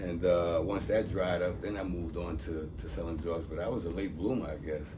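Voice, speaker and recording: Amid noticeable background noise and audible room echo, a man with an American accent talks fairly quickly in a very deep, low voice with ordinary pitch variation. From New York City (Harlem). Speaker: abuse survivor and former basketball player. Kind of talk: interview. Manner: casual.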